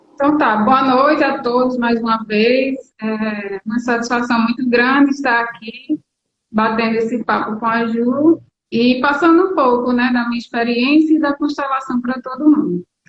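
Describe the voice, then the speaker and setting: The woman's voice is high-pitched, and she talks at a moderate pace. Her pitch moves in a fairly even way. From Paraíba, northeastern Brazil. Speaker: air force officer and family constellation student. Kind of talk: interview on live stream. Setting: online live stream.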